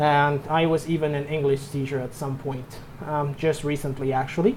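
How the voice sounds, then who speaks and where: With noticeable background noise behind him, a man with a Mexican accent speaks at a fairly high pitch and fairly slow pace, keeping his intonation fairly even. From Mexico. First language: Spanish. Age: 20s. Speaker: anime and movie reviewer. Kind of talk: casual channel introduction monologue. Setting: home room. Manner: halting, with repetitions and false starts.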